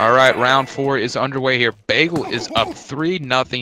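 This man has a medium pitch and fairly even intonation. The sound is dry and close with no echo, though background noise is noticeable. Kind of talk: live commentary.

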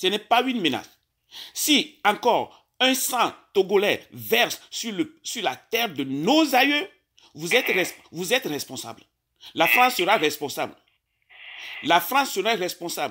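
Over a quiet background, a man with a high, raised, projected voice talks fairly slowly with very wide pitch swings and long, frequent pauses. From Togo. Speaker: caller. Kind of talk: phone call. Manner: halting.

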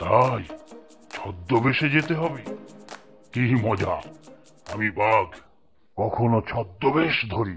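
Putting on a cartoonish character voice at medium pitch, a man speaks at a fairly slow pace over faint music in the background. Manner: excitable, comic.

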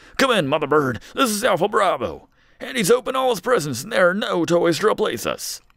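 Put-on character voice at a fairly quick pace. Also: man, high pitch for a man. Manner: gruff, military.

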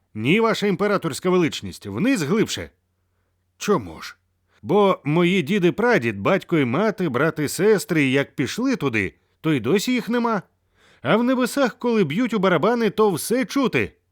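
In a very clean recording with a silent background, a man uses a put-on character voice, high-pitched with very wide pitch swings, at a moderate pace. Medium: read story. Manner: confident, respectful.

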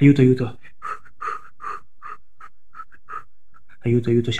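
Putting on a shrill character voice at medium pitch, a man speaks at a moderate pace against noticeable background noise. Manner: pretend terror, shrieking.

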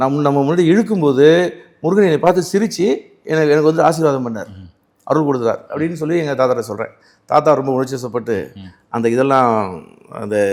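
On a very clean recording with a silent background, a man with a plain, everyday voice speaks at fairly high pitch with lively intonation. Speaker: varma healer and spiritual teacher. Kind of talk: interview storytelling.

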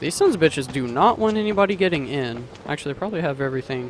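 A man talks at a very fast pace with very wide pitch swings. The sound is dry with no echo, and there is light background noise. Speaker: gamer. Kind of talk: let's play commentary. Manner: screams and yells at jump scares. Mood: nervous, jumpy, startled outbursts. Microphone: studio mic.

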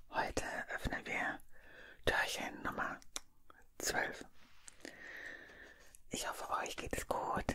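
A soft-spoken woman whispers in a warm, gentle tone at a very slow pace, with long, frequent pauses over light background noise. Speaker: advent calendar unboxing host. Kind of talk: soft-spoken ASMR-style unboxing chat. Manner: soft ASMR whisper, warm and gentle. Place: home room. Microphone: studio mic.

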